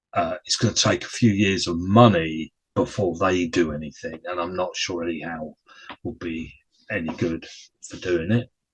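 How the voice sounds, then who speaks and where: A man with a very deep, low pitch speaks at a fairly slow pace, somewhat breathy, with ordinary pitch variation. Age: 60s. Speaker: football podcaster. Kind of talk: casual solo chat.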